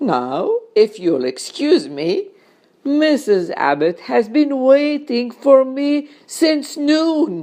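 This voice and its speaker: Using a put-on character voice, a woman speaks at a high pitch and a very slow pace. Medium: read story. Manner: calm, reassuring.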